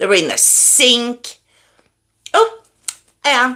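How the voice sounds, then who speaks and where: A woman speaks very slowly in a raised, projected voice, her high pitch carrying a bright, sharp tone. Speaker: true crime livestream host. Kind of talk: casual chat with live chat viewers. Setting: livestream with headphones. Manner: loud.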